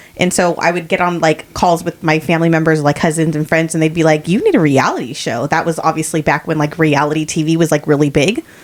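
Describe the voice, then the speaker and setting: Over noticeable background noise, a woman with a very deep, low pitch talks at a very fast pace with hardly any pauses, fairly even intonation and very even loudness. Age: 40s. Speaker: podcast co-host. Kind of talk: casual chat.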